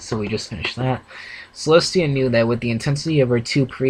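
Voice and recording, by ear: The speaker is reading aloud in a natural voice, the pitch varying in an ordinary way.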